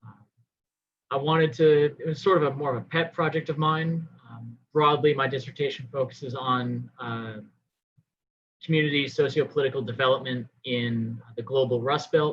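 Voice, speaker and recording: A man with an American accent speaks at a moderate pace in a fairly high, somewhat breathy voice. His intonation is fairly even. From Rochester, New York, US. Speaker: doctoral researcher. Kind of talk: academic video call discussion.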